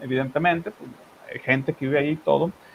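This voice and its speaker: A man speaks in a strong Monterrey accent. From Monterrey, northern Mexico. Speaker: online news show host. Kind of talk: political discussion. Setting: live stream.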